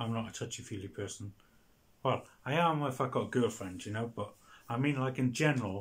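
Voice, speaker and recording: The voice comes in a Welsh accent with ordinary pitch variation. It sounds somewhat breathy. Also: man, medium pitch for a man, fairly quick pace. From Wales. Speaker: video blogger. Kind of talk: casual monologue. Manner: halting.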